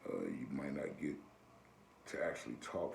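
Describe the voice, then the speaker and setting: There is audible room echo as a man talks with an American accent. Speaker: video blogger. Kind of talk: casual advice monologue.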